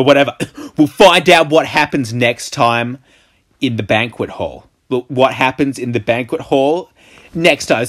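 A plain read-aloud delivery, ordinary pitch variation, and a quiet background

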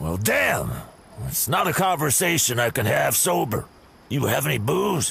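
Over light background noise, a man at medium pitch puts on a character voice at a moderate pace. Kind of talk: video game dialogue.

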